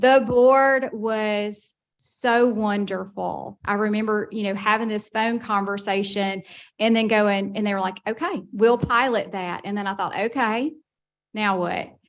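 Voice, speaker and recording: A woman with a Southern US accent, fairly high pitch, fairly even intonation and a fairly slow pace against a quiet background. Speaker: college system administrator. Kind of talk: speech at a board meeting. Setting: meeting room with audience.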